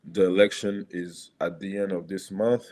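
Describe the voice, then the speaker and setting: A man speaks at a moderate pace with a French accent and a fairly low pitch, recorded very cleanly against a silent background. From Gabon. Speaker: former basketball player. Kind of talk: podcast interview. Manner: halting, with self-corrections.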